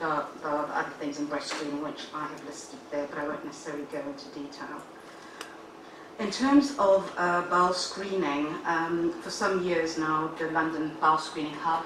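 Audible room echo and noticeable background noise surround a woman speaking in a very deep, low pitch with fairly even intonation. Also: moderate pace. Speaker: health service officer presenting to panel. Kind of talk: formal briefing. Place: meeting room.

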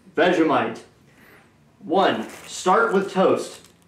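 A man's fairly high voice, fairly bright in tone, with lively intonation, a very slow pace and strong room echo

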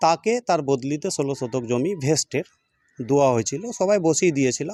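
Dry and close with no echo, a man's fairly high voice carries a dark, mellow tone and ordinary pitch variation. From West Bengal, Uttar Dinajpur. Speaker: local resident. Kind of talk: news interview statement.

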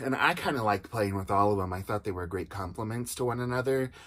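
Ordinary pitch variation in a man's speech. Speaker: doll collector reviewer. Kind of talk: casual review chat. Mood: enthusiastic, nostalgic. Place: home room. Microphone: phone near.

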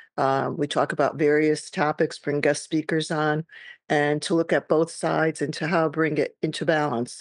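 A woman speaks at a moderate pace with a very deep, low pitch and monotone, flat intonation. The sound is dry with no echo, very even in loudness, over a quiet background. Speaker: podcast host and guided meditation leader. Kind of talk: casual talk to camera, podcast introduction. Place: home room. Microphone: webcam.

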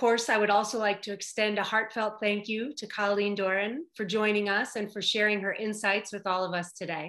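Bright and sharp in tone, a woman speaks at a fairly quick pace with fairly even intonation against a quiet background. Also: hardly any pauses. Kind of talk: formal welcome speech. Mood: warm, polite. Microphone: video call.

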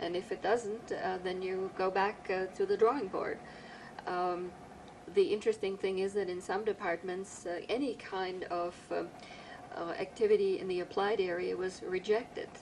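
A woman with a plain, everyday voice speaks at medium pitch. Her intonation is fairly even and her pace moderate. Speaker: criminal justice professor, interviewer. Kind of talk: oral history interview.

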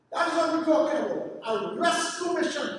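An extremely high-pitched male voice drenched in strong room echo. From Trinidad. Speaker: professor. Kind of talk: lecture. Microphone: camera far.

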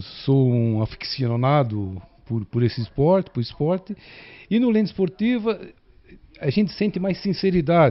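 A man's fairly high voice at a fairly slow pace, with very wide pitch swings and long, frequent pauses. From São Paulo, ABC region; São Paulo, Brazil. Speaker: viewer; interviewee. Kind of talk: interview. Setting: at home. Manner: halting. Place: home room. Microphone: handheld.

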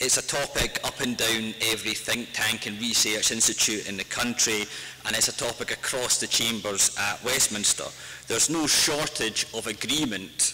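A man with a Scottish accent talks at a moderate pace in a medium pitch, his intonation fairly even. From Scotland. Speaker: author and activist. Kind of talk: public talk. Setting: stage with audience. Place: hall. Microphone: podium.

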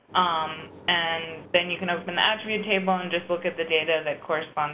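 Talking at a fairly quick pace, a woman has an unremarkable speaking voice. Her pitch is fairly low. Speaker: data manager presenting a training webinar. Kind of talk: webinar tutorial. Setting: online web conference. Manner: casual, many filler words.

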